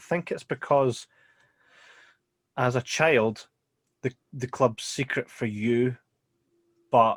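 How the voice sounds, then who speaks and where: With a Scottish accent and a medium pitch, a man talks with long, frequent pauses in a dry, close sound that has no echo. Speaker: podcast co-host. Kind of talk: casual podcast talk. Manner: deadpan.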